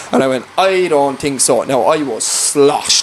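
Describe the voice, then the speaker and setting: Amid noticeable background noise, a man in a rural Irish accent speaks in an animated tone at a fairly slow pace, with fairly high pitch and ordinary pitch variation. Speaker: farm worker and singer-songwriter. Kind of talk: casual chat.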